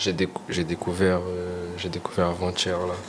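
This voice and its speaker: Very slowly, a man talks in a very deep, low voice. Noticeable background noise can be heard. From Portugal (Lisbon), Guinea-Bissau family, also Senegal and England. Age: 20s. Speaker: rapper. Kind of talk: casual interview. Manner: halting, many repetitions.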